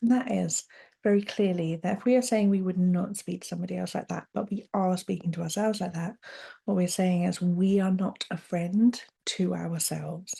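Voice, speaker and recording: Against a quiet background, a woman with a British accent speaks at a moderate pace and medium pitch, her dark, mellow tone somewhat breathy and her intonation fairly even. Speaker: podcast host, coach. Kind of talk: solo podcast monologue, self-help talk. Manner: warm, straight-talking, conversational.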